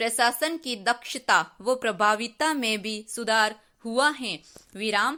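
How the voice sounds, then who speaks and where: Over a silent background in a very clean recording, a woman speaks with a bright, sharp tone, a fairly high pitch and ordinary pitch variation. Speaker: dictation reader. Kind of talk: shorthand dictation practice read. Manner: slow, measured.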